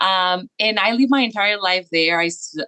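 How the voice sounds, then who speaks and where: A woman's fairly low voice with a Spanish accent, lively intonation, a bright, sharp tone and a dry, close sound with no echo. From Mexico, Ciudad Madero near Tampico. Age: 30s. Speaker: early childhood school director. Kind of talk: podcast interview. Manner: hesitant, with many fillers.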